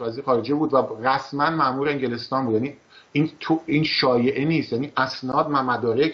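The man's intonation is fairly even. He keeps a moderate pace. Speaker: political commentator host. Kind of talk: commentary. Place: studio.

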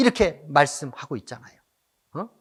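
A man with very wide pitch swings on a very clean recording with a silent background. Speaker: pastor. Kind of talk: sermon. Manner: impassioned, exhorting.

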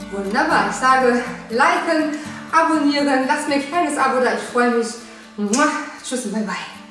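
Over clear background music and audible room echo, a woman speaks in a high pitch. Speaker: fitness trainer. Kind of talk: workout instruction. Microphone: camera far.

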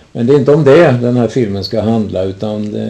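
Lively intonation and a fairly slow pace come through over noticeable background noise. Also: man. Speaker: interviewer. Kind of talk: interview, guided local history talk. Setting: at interviewee's home. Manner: formal, somewhat old-fashioned phrasing.

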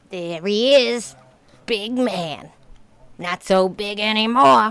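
A cartoonish character voice speaks at a very slow pace. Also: female-sounding voice, medium pitch for a woman. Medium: puppet show. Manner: sarcastic, ranting.

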